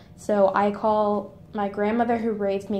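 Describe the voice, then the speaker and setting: A woman in an American accent, with a dark, mellow tone, medium pitch, and audible room echo. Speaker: student. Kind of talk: reading aloud; casual monologue.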